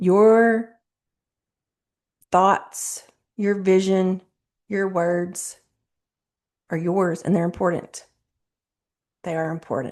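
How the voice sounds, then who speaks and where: Mumbling, a woman speaks at a very slow pace with long, frequent pauses. Her voice sits at medium pitch with fairly even intonation. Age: 40s. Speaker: self-help video host. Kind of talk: motivational talk to camera. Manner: casual, conversational.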